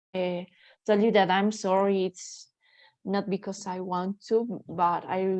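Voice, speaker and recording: The delivery is fairly slow, with monotone, flat intonation. The background is quiet. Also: woman, medium pitch for a woman. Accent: Spanish. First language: Spanish. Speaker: language student. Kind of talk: casual chat. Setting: video call. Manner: halting.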